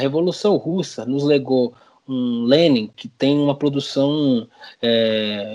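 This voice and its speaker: A man talks at a medium pitch with ordinary pitch variation in an unremarkable speaking voice. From São Paulo, Brazil (Itaquera, east side). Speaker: psychologist and university lecturer, activist. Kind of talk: academic discussion, podcast interview.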